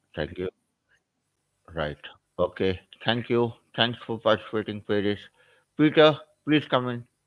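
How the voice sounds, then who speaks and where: Lively intonation in an Indian accent, at a moderate pace with long, frequent pauses. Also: man, medium pitch for a man. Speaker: SAP trainer. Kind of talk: live online class.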